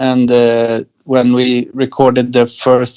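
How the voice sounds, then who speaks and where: In a Swedish accent, a man speaks at a fairly slow pace with a medium pitch. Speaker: electronic musician. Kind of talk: interview. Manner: halting.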